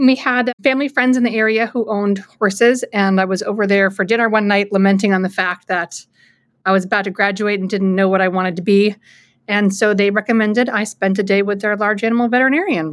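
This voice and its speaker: On a very clean recording with a silent background, a woman speaks at a very fast pace with fairly even intonation. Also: medium pitch for a woman. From Alaska. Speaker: dairy veterinarian and professor. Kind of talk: interview conversation.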